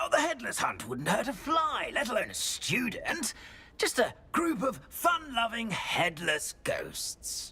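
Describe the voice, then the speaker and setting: Shouting in a put-on character voice at a fairly slow pace. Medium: video game. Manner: courteous, hesitant.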